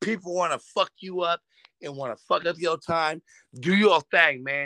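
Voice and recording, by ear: Fairly high in pitch with ordinary variation, a man speaks at a moderate pace in a bright, sharp tone. The sound is dry and close, with no echo.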